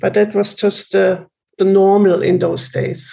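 A woman speaks with a German accent. Her pitch is medium. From Germany. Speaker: trauma healing retreat facilitator. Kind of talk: interview.

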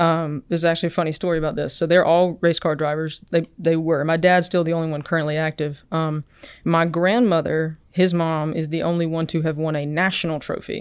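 A woman speaks in an Alabama accent, her pitch fairly low and her intonation monotone and flat. Her pace is fairly quick, with hardly any pauses. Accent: US Southern (Alabama). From Alabama (Enterprise). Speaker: research engineer and startup founder. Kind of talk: podcast interview.

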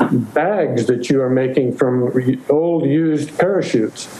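Over noticeable background noise, a man with a fairly high pitch speaks at a very slow pace with ordinary pitch variation. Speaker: organizer who set up the interview. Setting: video call.

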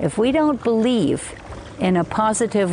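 A woman talks at a moderate pace while noticeable background noise fills the recording. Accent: American. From US Northeast, Hudson Valley of New York State. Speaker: evolutionary biologist and author. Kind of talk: interview.

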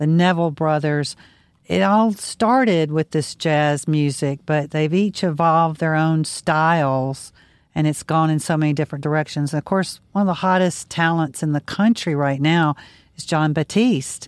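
This woman's voice is very deep and low in pitch, with a Southern US accent. Her pitch varies in an ordinary way. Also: moderate pace. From Louisiana, Baton Rouge area. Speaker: podcast co-host. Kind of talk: casual chat.

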